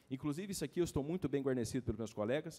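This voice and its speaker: A man speaks at a fairly high pitch. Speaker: lawyer. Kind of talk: lecture. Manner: fast; hurried, halting.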